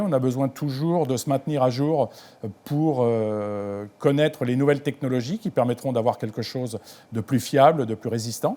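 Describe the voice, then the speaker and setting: Delivered at a fairly slow pace, the voice has a dark, mellow tone. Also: man. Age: 60s. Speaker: ground station technician. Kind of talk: interview. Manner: hesitant, many fillers.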